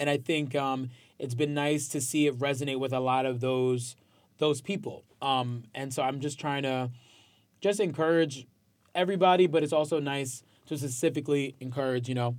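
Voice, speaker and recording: A man with a New York accent talks at a fairly quick pace, his pitch fairly high. His intonation stays fairly even on a very clean recording with a silent background. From New York, Westchester County. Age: 20s. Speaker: musician and social media personality. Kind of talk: casual interview chat.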